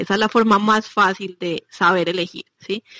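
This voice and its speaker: In a normal speaking voice, a woman talks at a medium pitch with fairly even intonation, the sound dry and close with no echo over a quiet background. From Medellín, Colombia. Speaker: nutrition coach. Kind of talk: interview.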